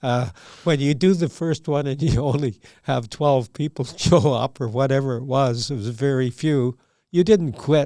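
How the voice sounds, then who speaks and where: A man with a Canadian accent speaks at a moderate pace in a fairly high pitch with ordinary pitch variation. His tone is dark and mellow, on a very clean recording with a silent background. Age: 80s+. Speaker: retired farmer. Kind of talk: casual interview. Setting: podcast studio.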